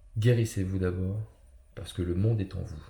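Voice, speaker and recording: A man with a dark, mellow tone talks with fairly even intonation, sounding somewhat breathy. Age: 30s. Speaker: personal development coach. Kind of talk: motivational talk. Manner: halting, many fillers.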